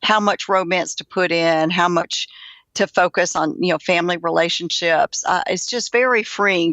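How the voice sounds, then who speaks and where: A woman in a Southern US accent, fairly low in pitch, ordinary pitch variation, moderate pace. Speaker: author. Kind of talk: interview answer. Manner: gentle.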